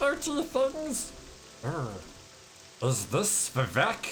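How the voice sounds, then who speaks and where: A man talks in a put-on character voice at a very slow pace. Background noise is clearly audible. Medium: role play.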